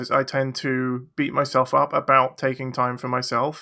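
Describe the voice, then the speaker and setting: A man's bright, sharp voice at medium pitch, with an English accent, on a very clean recording with a silent background. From England. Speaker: children's picture book illustrator. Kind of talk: casual chat.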